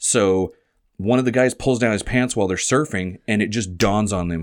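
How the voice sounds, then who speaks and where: Here is a man with an ordinary speaking voice, moving at a moderate pace with ordinary pitch variation. The recording is very clean, with a silent background. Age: 40s. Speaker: softball podcast host. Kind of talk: casual chat.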